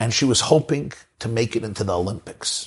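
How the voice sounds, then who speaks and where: A man with a Brooklyn accent at medium pitch, with a bright, sharp tone, lively intonation and a moderate pace. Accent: New York American, Brooklyn. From Brooklyn, New York. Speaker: rabbi, lecturer. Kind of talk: lecture. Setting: video call.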